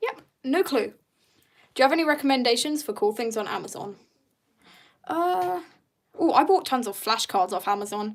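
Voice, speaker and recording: A woman with a British accent, high in pitch and animated in tone, with very wide pitch swings, a moderate pace and long, frequent pauses. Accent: British, sometimes taken for Australian. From Britain. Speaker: artist streamer. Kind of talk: casual live stream chat while painting. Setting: live stream.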